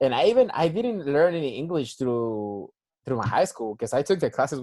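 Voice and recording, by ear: Speaking at a medium pitch and a fairly quick pace, a man has lively intonation and a dark, mellow tone.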